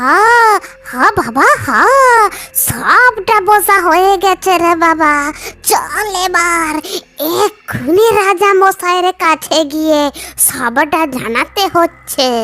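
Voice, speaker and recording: A cartoonish character voice with lively intonation, very even loudness and a very slow pace. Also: woman, extremely high pitch for a woman. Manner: warm, affectionate.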